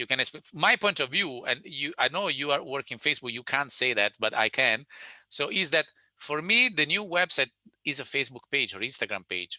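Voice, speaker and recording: With an Italian accent, a man speaks at a moderate pace in a fairly high pitch and lively intonation. The sound is dry and close, with no echo. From Italy. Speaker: webinar presenter, digital sales consultant. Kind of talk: webinar presentation and Q&A. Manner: halting with many repetitions.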